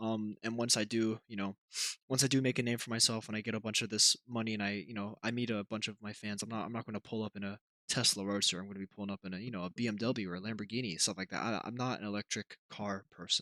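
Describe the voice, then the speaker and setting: A man speaks quietly at a very fast pace, with fairly low pitch, a bright, sharp tone and monotone, flat intonation. The recording is very clean and dry, close with no echo, over a silent background. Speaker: YouTuber and streamer. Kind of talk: casual vlog monologue. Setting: at home, shared building. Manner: halting, many fillers and restarts; kept quiet to limit noise.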